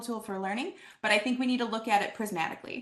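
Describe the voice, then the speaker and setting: With noticeable background noise, a woman talks at a very fast pace in a high pitch and an animated tone. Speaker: conference presenter on assessment. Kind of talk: presentation.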